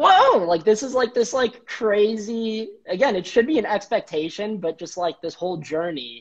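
A man with an American accent talks at a moderate pace, with a quiet background behind him. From Chicago suburbs, US Midwest; Illinois. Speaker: treatment center business strategist; interview guest. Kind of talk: casual interview. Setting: office, live video stream. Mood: cheerful, animated storytelling. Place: home room. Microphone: video call.

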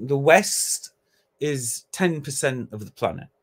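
Very slow speech from a man with a British accent, fairly high-pitched, against a quiet background. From Britain. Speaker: academic; conference speaker. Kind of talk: conference talk. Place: home room.

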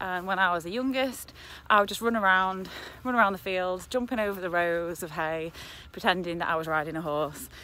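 Recorded dry with no echo, a woman talks at a fairly quick pace in a bright, sharp tone. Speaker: farm vlogger. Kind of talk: casual vlog chat. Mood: relaxed, reminiscing. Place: open country. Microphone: phone near.

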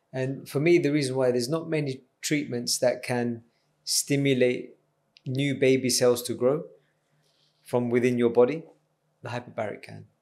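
A man talks at a moderate pace with fairly even intonation. He leaves long, frequent pauses. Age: 30s. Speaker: doctor running an anti-ageing business. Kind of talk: podcast interview. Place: studio. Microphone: studio mic.

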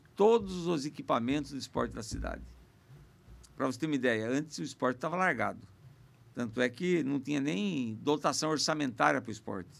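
Vocal fry with lively intonation. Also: man. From Sorocaba, São Paulo state, Brazil; São Paulo state, Brazil. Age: 50s. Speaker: mayor and politician; mayor, politician. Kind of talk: podcast interview. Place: studio. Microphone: studio mic.

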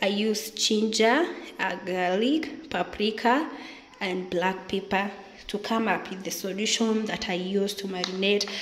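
A woman is speaking in a room with audible echo. Light background noise can be heard. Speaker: home cook vlogger. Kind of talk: cooking tutorial. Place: kitchen.

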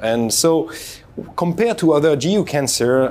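A man is talking. Some light noise sits in the background. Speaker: host. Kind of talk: interview host introduction and questions. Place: hall. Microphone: lapel.

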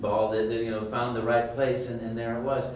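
With an American accent and a medium pitch, a man speaks amid audible room echo and light background noise. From United States. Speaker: voice actor. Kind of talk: interview answer. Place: hall.

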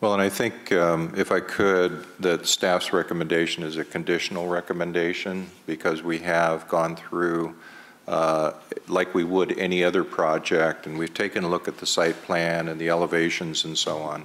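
Speaking at a moderate pace, a man with a very deep, low pitch keeps a monotone, flat intonation. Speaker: city development official. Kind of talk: public meeting discussion. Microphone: podium.

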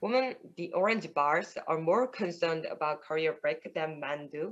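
Speaking with a Korean accent, a woman uses a fairly low pitch and lively intonation at a moderate pace. The background is quiet. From South Korea. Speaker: PhD student in astronomy; remote conference presenter. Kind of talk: conference talk; conference presentation. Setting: remote video call. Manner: halting. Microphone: webcam.

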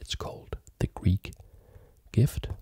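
A soft-spoken voice at a very slow pace against a quiet background. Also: dry sound with no echo. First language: not German; learning German. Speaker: chess teacher and video creator; chess teacher, video creator. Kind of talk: tutorial. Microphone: studio mic.

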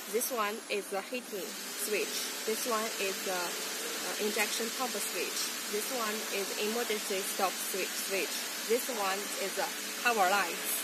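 Loud background noise fills the clip as a woman speaks with long, frequent pauses. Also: fairly slow pace. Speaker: presenter. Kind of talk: product demonstration. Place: factory. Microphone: phone near.

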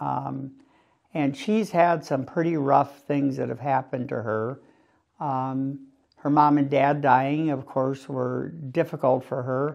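The intonation of this man is fairly even. He speaks at a very slow pace against a quiet background. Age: 70s. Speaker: priest. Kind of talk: interview. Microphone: lapel.

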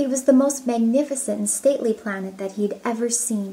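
A woman speaks in a gentle tone at a fairly high pitch. Her pitch varies in an ordinary way. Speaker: storybook reader. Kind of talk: audiobook reading aloud. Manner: gentle, measured storybook pacing. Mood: calm, gentle storytelling. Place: home room. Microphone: phone near.

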